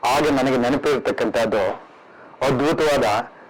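The intonation stays fairly even. Noticeable background noise can be heard. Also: man. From Karnataka, Tumakuru and Bangalore area. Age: 70s. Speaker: education trust president. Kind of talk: reminiscing interview. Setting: at home.

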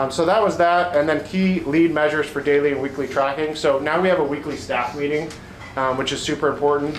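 A man at a fairly quick pace with a Southwestern US accent, audible room echo and light background noise. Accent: General American (Southwest). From Phoenix, Arizona; Arizona. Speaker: home inspector and business owner. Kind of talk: presentation to real estate agents. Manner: halting with frequent ums. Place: meeting room. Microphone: camera far.

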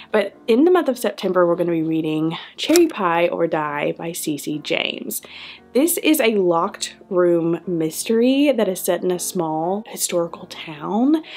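Over faint background music, a woman speaks fairly slowly in a fairly low voice. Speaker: book video host. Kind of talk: casual vlog chat. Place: home room.

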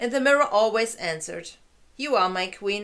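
Lively intonation, moderate pace. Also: woman. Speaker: fairy-tale narrator. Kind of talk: reading a story aloud. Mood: calm, gentle narration. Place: home room. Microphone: camera far.

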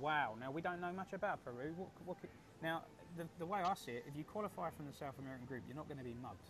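Over noticeable background noise, a man with a southeast English accent speaks at a very fast pace with lively intonation. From England, Colchester; England. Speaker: football podcast host. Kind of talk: casual panel chat. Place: home room.

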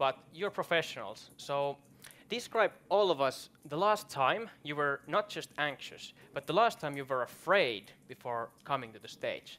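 Speaking slowly with a Finnish accent, a man uses a fairly high pitch, lively intonation and a bright, sharp tone. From Finland. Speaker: event host. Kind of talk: moderated panel discussion. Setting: stage with audience. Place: stage. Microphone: headset.

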